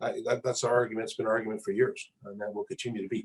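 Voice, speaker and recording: A man talks at a very fast pace. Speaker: mining company executive. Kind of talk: interview.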